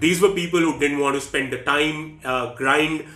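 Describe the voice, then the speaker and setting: Speaking at a moderate pace with fairly even intonation, a man is heard with audible room echo. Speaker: educational vlogger. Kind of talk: explainer commentary. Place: home room.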